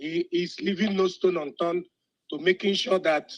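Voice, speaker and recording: Putting on a character voice, a man speaks hoarsely at a high pitch and a moderate pace. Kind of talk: formal address to community.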